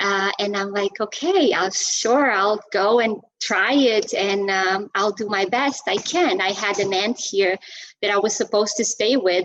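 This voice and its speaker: Someone with a Portuguese accent talks at a fairly slow pace with fairly even intonation. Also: woman. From Portugal. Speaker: Zumba instructor and personal trainer. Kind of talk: interview. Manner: halting, many fillers.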